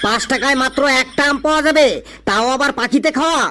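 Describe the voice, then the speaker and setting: A cartoonish character voice with a high pitch and a moderate pace. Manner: wily, teasing.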